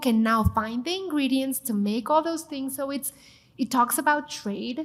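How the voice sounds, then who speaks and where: A woman with a Mexican accent, high pitch, and a moderate pace. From Mexico City. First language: Spanish. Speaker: TV chef and cooking show host. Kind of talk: panel discussion. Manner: animated.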